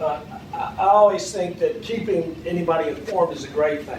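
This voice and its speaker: A man with a high pitch talks at a moderate pace with ordinary pitch variation. Audible room echo and noticeable background noise fill the recording. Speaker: film industry advocate, seminar speaker. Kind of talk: seminar presentation with Q&A. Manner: halting, many repetitions and fillers.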